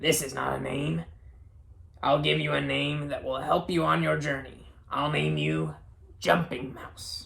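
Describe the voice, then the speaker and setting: This put-on character voice is gravelly and raspy. It moves at a moderate pace with long, frequent pauses. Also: man, very deep, low pitch for a man. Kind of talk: silly character voice for kids. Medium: read story.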